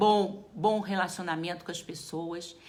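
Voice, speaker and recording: Audible room echo surrounds a woman talking at a medium pitch. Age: 60s. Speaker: geriatrician. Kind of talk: live talk to viewers. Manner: casual, conversational.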